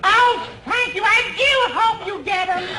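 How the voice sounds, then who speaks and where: A put-on character voice with an extremely high pitch at a fairly slow pace over light background noise. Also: ordinary pitch variation. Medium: short film. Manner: fluttery.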